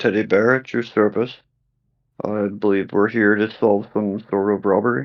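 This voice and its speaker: A man does a put-on character voice, gravelly and gruff, at a fairly low pitch and moderate pace with fairly even intonation. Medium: actual play. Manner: very calm, no-nonsense.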